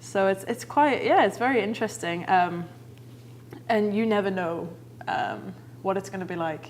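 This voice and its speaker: With noticeable background noise behind her, a woman with an English accent speaks at a medium pitch, her voice making very wide pitch swings between long, frequent pauses. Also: moderate pace. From northern England, Manchester area. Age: young, under 21. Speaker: comedian and actor. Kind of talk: talk show interview.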